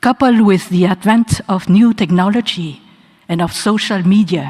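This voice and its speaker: Somewhat breathy, a woman's medium-pitched voice moves at a moderate pace with ordinary pitch variation. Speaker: honorary doctorate recipient. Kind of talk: acceptance speech. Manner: formal.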